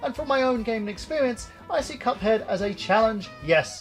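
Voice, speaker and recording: A man with a British accent talks at a fairly quick pace and a high pitch. Music plays in the background. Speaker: video game reviewer. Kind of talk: video game review to camera.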